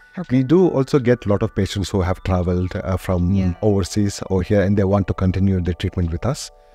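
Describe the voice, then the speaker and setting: Faint music sits behind a man who talks at a fairly quick pace with a fairly low pitch. His pitch variation is ordinary, and the sound is dry with no echo. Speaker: guest. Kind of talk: interview answer. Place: studio. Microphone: studio mic.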